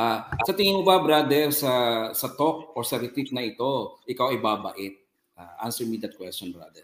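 The man's voice sits at a medium pitch yet swings very widely in pitch. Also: moderate pace. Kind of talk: talk on faith and media.

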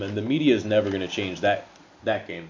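A man talks at a fairly quick pace. His normal speaking voice sits fairly low in pitch. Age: 30s. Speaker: podcast co-host. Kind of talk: casual chat.

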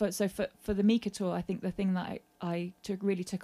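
With a London accent, a woman speaks at a medium pitch and a fairly quick pace, her tone dark and mellow and her intonation monotone and flat. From South London. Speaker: singer-songwriter and session musician. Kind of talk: casual interview chat. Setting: garden shed studio.

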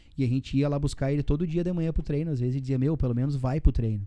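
With a dark, mellow tone, a man speaks at a medium pitch using fairly even intonation. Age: 30s. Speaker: sports journalist and radio commentator. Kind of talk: casual chat. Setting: studio.

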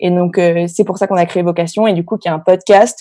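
In a very clean recording with a silent background, a woman speaks at a medium pitch with fairly even intonation and a dark, mellow tone. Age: 20s. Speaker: podcast co-host and entrepreneur. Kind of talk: interview. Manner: hesitant, many fillers.

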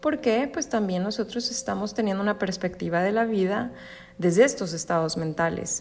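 A woman at medium pitch uses lively intonation, with vocal fry in her voice. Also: moderate pace. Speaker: spiritual wellness podcaster. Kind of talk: solo podcast monologue. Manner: stutters at times.

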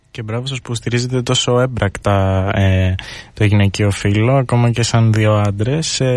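A man with a plain, everyday voice, fairly low in pitch, at a fairly slow pace with fairly even intonation. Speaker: student radio host. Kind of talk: radio interview. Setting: studio.

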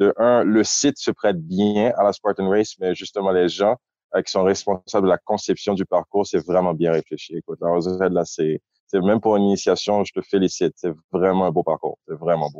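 At a moderate pace, a man with a dark, mellow tone and fairly low pitch speaks with fairly even intonation in a dry, close sound with no echo. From Haiti (Port-au-Prince). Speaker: podcaster. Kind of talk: casual interview.

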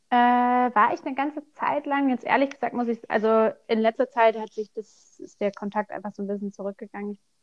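A woman's fairly high, a normal speaking voice at a fairly quick pace, with ordinary pitch variation and dry, close sound with no echo. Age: 20s. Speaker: self-employed seamstress of vaulting costumes. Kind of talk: casual interview.

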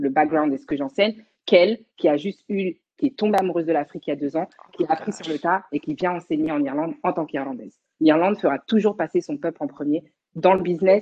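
This woman's voice sits at a fairly low pitch. Her intonation is lively. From Paris region, France. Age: young. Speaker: dancer. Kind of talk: casual chat.

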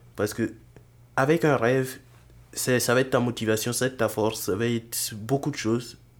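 A man's medium-pitched voice at a fairly quick pace, with fairly even intonation, very even loudness and long, frequent pauses, on a very clean recording with a silent background. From Burkina Faso. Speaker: software engineering student and entrepreneur. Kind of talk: casual interview.

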